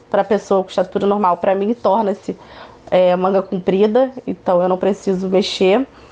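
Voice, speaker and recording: Moderate pacing from a woman with a medium-pitched voice, noticeable background noise behind her. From Niterói, Rio de Janeiro, Brazil. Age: 20s. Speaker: activist and speaker. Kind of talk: interview.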